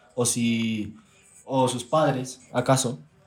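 In a medium pitch, this man talks with monotone, flat intonation. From Texas. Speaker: content creator. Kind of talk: casual chat.

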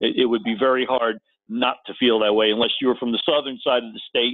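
Using a normal speaking voice, a man with an American accent talks at a fairly quick pace and medium pitch. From US Northeast (Connecticut). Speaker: former sports TV producer, NFL historian. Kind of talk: casual interview. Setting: phone call.

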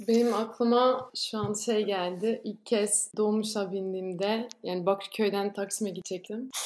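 A woman talks at a medium pitch in a flat, monotone way. She barely pauses at all. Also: fairly slow pace. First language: not Turkish (Belgian) (speaking Turkish). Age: 20s. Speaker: former exchange student, volunteer. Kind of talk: casual interview.

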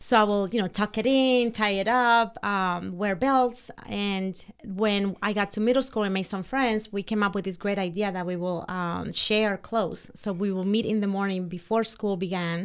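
A woman with a Spanish accent talks at a moderate pace in a medium pitch, her intonation fairly even and with hardly any pauses. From Dominican Republic. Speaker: interior designer. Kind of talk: casual interview chat.

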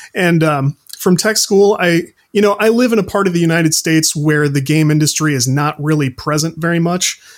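Using a normal speaking voice, a man with a fairly high pitch talks at a fairly quick pace with hardly any pauses and ordinary pitch variation. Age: 30s. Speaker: indie game developer and games journalist. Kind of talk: casual interview.

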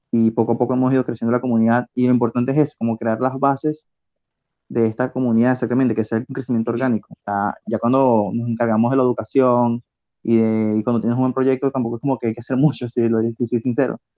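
At a very fast pace, a man speaks at medium pitch in monotone, flat intonation with very even loudness. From Venezuela. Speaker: community manager. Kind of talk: casual chat.

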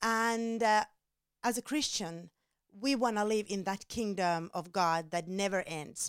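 In a very clean recording with a silent background and a dry, close sound with no echo, a woman speaks at a fairly slow pace with medium pitch and ordinary pitch variation. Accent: Finnish. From Finland. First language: Finnish. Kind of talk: devotional teaching. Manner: halting, many fillers.

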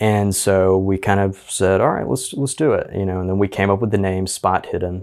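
On a very clean recording with a silent background, a man with an American accent speaks at a moderate pace with hardly any pauses. He has a plain, everyday voice, fairly low in pitch with ordinary pitch variation. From Alabama, US South. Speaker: actor, musician and podcaster. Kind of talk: casual chat.

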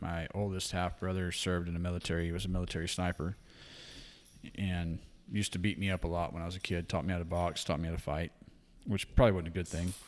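Talking very fast in a Texan accent, a man with a very deep, low pitch keeps fairly even intonation in a very clean recording with a silent background. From Texas Hill Country. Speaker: wildlife capture and hunting guide. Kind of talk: casual chat.

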